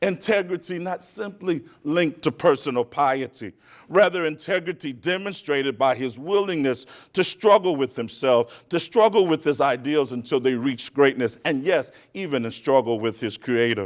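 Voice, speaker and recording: On a very clean recording with a silent background, a man speaks in a plain, everyday voice, fairly high in pitch, at a moderate pace with lively intonation. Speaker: keynote speaker. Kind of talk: speech. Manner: oratorical.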